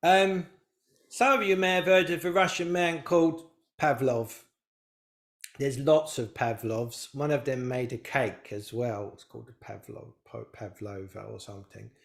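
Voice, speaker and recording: Mumbling at a moderate pace, a man lets his pitch swing very widely. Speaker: spiritual teacher. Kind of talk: live online talk to audience. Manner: mumbling a bit; rambling, halting.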